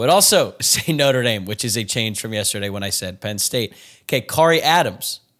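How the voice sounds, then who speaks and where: In a very clean recording with a silent background, a man with a plain, everyday voice speaks at a medium pitch. His pace is fairly quick and his intonation lively. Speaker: podcast host. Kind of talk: casual chat.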